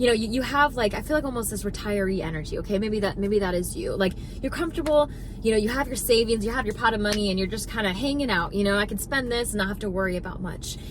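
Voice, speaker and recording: Over noticeable background noise and audible room echo, a woman with a fairly high pitch talks at a very fast pace with ordinary pitch variation. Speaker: spiritual manifestation content creator. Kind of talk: motivational talk to camera. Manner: animated.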